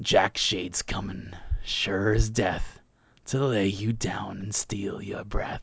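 In a put-on character voice, the speaker uses a low pitch and a menacing tone, drawing words out at a very slow pace. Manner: creepy, menacing.

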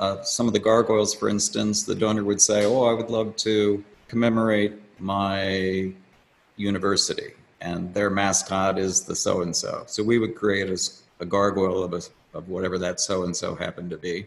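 Using a plain, everyday voice, a man talks at a moderate pace with a fairly low pitch. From Washington, D.C. area. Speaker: sculptor. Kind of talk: interview.

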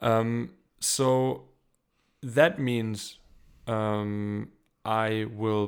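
Fairly low in pitch, a man with a German accent speaks with ordinary pitch variation. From Germany. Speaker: camera assistant. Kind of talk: casual interview. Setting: video call.

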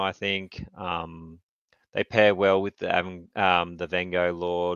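Here a man speaks with an Australian accent. His voice is very deep and low, with a monotone, flat intonation. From Australia, Newcastle. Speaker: tournament wargamer. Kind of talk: casual chat.

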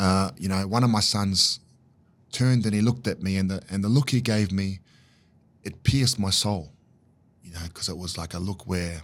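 The speaker has a New Zealand accent and talks at a fairly quick pace with ordinary pitch variation. The recording is very clean, with a silent background. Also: man. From New Zealand, Auckland. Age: 40s. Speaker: life coach and community fitness founder. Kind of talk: casual interview.

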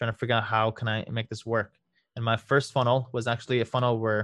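Against a quiet background, a man with a slight Iranian accent speaks at a fairly quick pace and medium pitch, the sound dry and close with no echo. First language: Farsi. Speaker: lawyer and legal marketing consultant. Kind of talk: interview.

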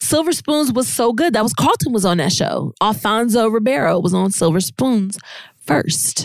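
The voice carries vocal fry and very wide pitch swings, holding a very even loudness at a moderate pace. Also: woman, fairly high pitch for a woman. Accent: American. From Virginia Beach, Virginia. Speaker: host's wife, guest. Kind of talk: casual chat. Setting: Facebook and Instagram livestream at home.

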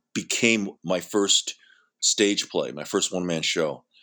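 In a very clean recording with a silent background, a bright, sharp voice moves at a fairly slow pace with ordinary pitch variation. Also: man. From Hawaii and San Francisco. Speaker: actor and filmmaker. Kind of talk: casual interview.

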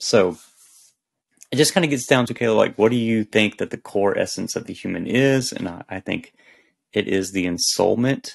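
A man with a plain, everyday voice speaks at a medium pitch and a moderate pace. His loudness swings widely, while his pitch variation is ordinary. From US South. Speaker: author. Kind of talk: casual chat.

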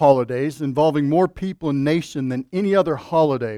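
A man with an unremarkable speaking voice, fairly high-pitched for a man, talks at a moderate pace with ordinary pitch variation, and the recording is very clean with a silent background and a dry, close sound with no echo. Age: 50s. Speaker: pastor. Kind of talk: sermon. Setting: church.

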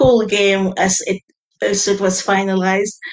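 A woman with an ordinary speaking voice talks at a fairly slow pace. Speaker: game designer guest.

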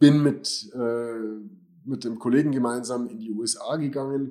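At a moderate pace, a man speaks in a dark, mellow tone at medium pitch. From Germany. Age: 40s. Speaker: financial adviser and YouTuber. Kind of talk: personal introduction to channel.

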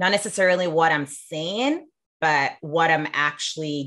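Over a quiet background, a woman with a very deep, low pitch talks at a fairly slow pace, her tone both bright and sharp yet warm, with ordinary pitch variation. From Sierra Leone. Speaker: leadership coach and author. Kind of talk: interview conversation. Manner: warm, laughs often.

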